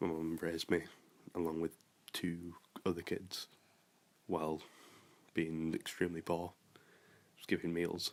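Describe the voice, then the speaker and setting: A man with a very deep, low pitch talks at a fairly slow pace in a monotone, flat delivery, with long, frequent pauses. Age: 20s. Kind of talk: interview.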